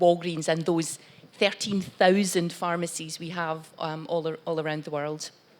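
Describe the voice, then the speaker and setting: A woman with a Glaswegian accent speaks at a moderate pace. Her voice is fairly low, with fairly even intonation. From Scotland, Glasgow. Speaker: corporate executive on panel. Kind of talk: panel talk.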